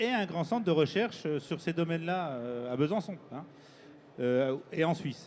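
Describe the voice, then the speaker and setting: High-pitched male speech at a fairly slow pace, with lively intonation. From eastern France, Jura or Doubs. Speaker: research institute director, engineering researcher. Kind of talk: panel discussion. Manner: halting.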